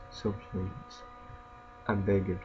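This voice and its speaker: Fairly low male voice at a fairly slow pace with very wide pitch swings, over noticeable background noise. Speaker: gaming YouTuber. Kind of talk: casual gameplay commentary. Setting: home recording, gameplay video. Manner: casual, reactive, mumbling asides.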